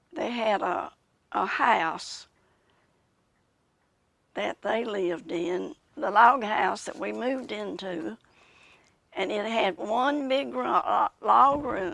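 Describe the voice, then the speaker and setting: In a Southern US accent, the speaker goes at a very slow pace with long, frequent pauses. The pitch swings very widely. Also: woman, fairly high pitch for a woman. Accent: Southern American. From Macon County, Tennessee. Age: 80s+. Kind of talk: interview answer.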